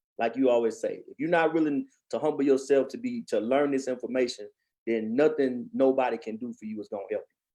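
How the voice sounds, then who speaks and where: A medium-pitched man's voice, dark and mellow in tone, at a very fast pace with ordinary pitch variation and big swings in loudness. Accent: Texas. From East Texas. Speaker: channel host, financial educator. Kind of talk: livestream chat. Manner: animated.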